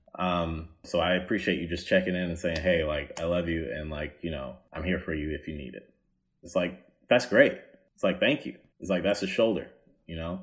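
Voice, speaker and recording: Speaking in an American accent, a man with a very deep, low pitch goes at a fairly quick pace, somewhat breathy, with ordinary pitch variation and big swings in loudness. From US South. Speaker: comedian. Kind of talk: casual chat. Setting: video call.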